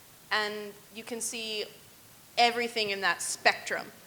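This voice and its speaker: A woman talks against noticeable background noise. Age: 20s. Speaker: tap dancer. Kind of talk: panel discussion.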